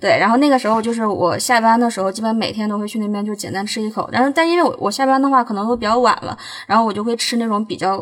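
A woman rushes along at a very fast pace with hardly any pauses, her pitch fairly high with ordinary variation. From Northeast China. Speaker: food blogger. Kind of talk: casual chat. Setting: in a car.

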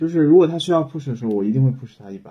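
Somewhat breathy, this man's voice has lively intonation. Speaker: new media professional, former software engineer. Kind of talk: casual chat.

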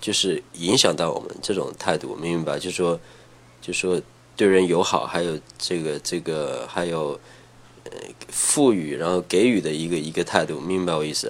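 His pitch is very deep and low, with ordinary variation. The man speaks at a moderate pace. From Henan, China (rural Huaiyang), later Shenzhen. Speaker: former pro skateboarder. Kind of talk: casual chat. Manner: halting.

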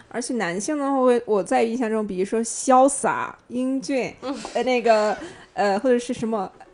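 Moderately paced speech from a woman with a fairly high pitch, set against noticeable background noise. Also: ordinary pitch variation. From Shandong, China. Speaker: podcast guest. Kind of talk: casual chat.

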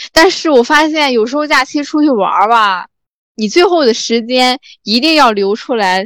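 Lively in intonation and fairly slow in pace, the voice has a dry, close sound with no echo. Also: woman. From rural China. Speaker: podcast host. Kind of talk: casual chat.

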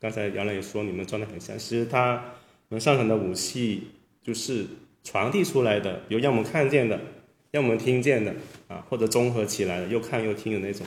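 A somewhat breathy voice at a fairly quick pace, with ordinary pitch variation and audible room echo. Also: man, medium pitch for a man. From Guangdong. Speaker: sculptor and artist. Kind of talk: casual chat.

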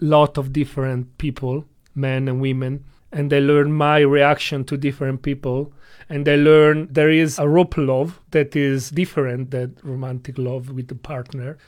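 A fairly high-pitched man in an Italian accent, at a fairly slow pace with monotone, flat intonation. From Italy. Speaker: rope bondage practitioner and instructor. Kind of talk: interview.

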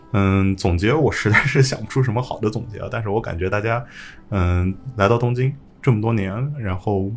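Somewhat breathy and fairly low in pitch, a man talks at a moderate pace with ordinary pitch variation. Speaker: teacher leaving Japan. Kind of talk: casual chat.

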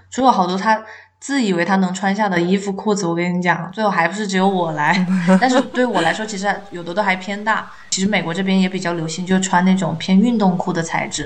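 A woman with medium pitch speaks at a fairly quick pace with fairly even intonation. Audible room echo and noticeable background noise are present. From Chongqing, China. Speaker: podcast co-host, teacher. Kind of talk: casual chat.

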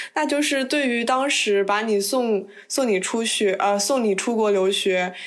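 Audible room echo surrounds a woman's voice. Her pitch varies in an ordinary way. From China. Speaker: podcast host. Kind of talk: casual chat.

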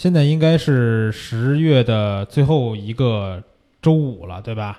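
With a Beijing accent, the speaker uses a dark, mellow tone and lively intonation on a very clean recording with a silent background. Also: man. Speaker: photography course teacher and show host. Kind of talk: casual chat. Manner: fast-talking.

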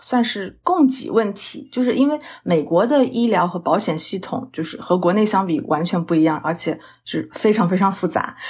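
A woman talks at a moderate pace with a medium pitch and lively intonation. Her voice is somewhat breathy. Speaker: registered dietitian, diabetes educator. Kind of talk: interview conversation.

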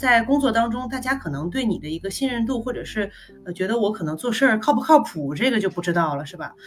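Over noticeable background noise, a woman speaks very fast at a fairly high pitch with very wide pitch swings. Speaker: marketing professional, former international student. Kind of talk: casual interview, personal story.

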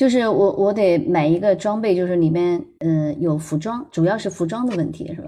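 The voice has a dark, mellow tone and ordinary pitch variation, moving at a moderate pace with hardly any pauses. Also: woman, fairly low pitch for a woman. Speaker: parent and former broadcaster. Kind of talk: casual chat. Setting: online voice room. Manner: soft-spoken.

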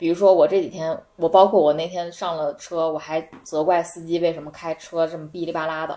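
A woman talks at a fairly quick pace with hardly any pauses, her fairly low pitch flat and monotone while her loudness swings widely. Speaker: returning guest. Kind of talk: casual chat. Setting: living room at a friend's home.

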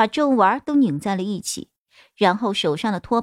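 A natural voice is reading aloud. All is quiet behind it.

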